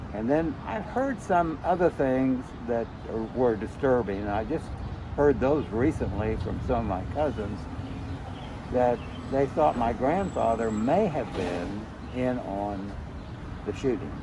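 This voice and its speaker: Amid noticeable background noise, a man with an American accent speaks at medium pitch and a fairly slow pace, his intonation lively and his pauses long and frequent. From Tulsa, Oklahoma. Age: 70s. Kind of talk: interview answer. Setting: outdoors.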